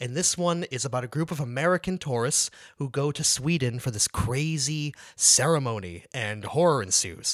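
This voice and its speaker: This man has an unremarkable speaking voice, fairly high in pitch, moving at a moderate pace in a very clean recording with a silent background. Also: lively intonation. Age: 30s. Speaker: podcast co-host. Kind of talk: casual chat.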